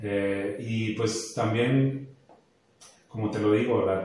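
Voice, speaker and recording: A man speaks at a fairly slow pace, with audible room echo and noticeable background noise in the recording. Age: 40s. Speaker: teacher. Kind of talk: faith testimony chat. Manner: halting.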